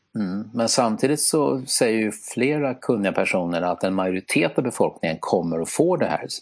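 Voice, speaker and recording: Over a quiet background, the speech runs at a fairly quick pace with hardly any pauses and very wide pitch swings. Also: man, medium pitch for a man. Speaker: podcast co-host. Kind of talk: casual chat. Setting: remote online recording. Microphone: simple earphones headset instead of studio mic.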